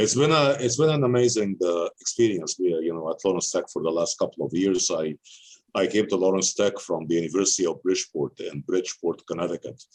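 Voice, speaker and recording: A man with an Arabic accent speaks at a very fast pace with a very deep, low pitch and lively intonation. The sound is dry and close, with no echo. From Egypt. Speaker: university president. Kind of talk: interview. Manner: halting, many fillers.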